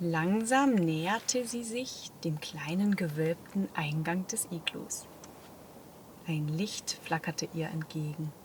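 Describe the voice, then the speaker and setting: At a very slow pace, a woman speaks in a fairly low pitch and a calm tone. Her intonation is lively. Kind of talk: sleep story. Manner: calm, soft-spoken.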